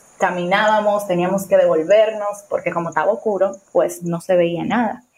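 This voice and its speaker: A woman's fairly even, medium-pitched voice at a moderate pace, over noticeable background noise. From Dominican Republic. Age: 20s. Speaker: storyteller guest. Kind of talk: personal testimony.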